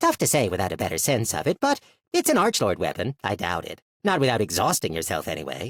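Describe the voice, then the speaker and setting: Using a put-on character voice, a man talks at a very fast pace in a medium pitch. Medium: read story. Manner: casual, frank.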